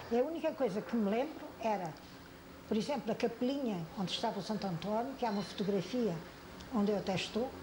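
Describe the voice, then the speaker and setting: A woman's fairly high voice at a very fast pace, lively in intonation and very even in loudness, with audible room echo and noticeable background noise. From Portugal, Algarve (Loulé area). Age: 80s+. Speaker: elderly eyewitness interviewee, oral history. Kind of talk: oral history interview. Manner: halting, with repetitions.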